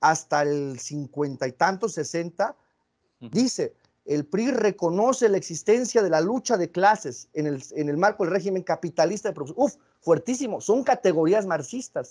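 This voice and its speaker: Over a quiet background, a man talks at a moderate pace in a high voice that swings very widely in pitch. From Mexico. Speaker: philosopher and interviewer; interviewer. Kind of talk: interview. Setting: video call. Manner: halting, many repetitions. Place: home room. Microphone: video call.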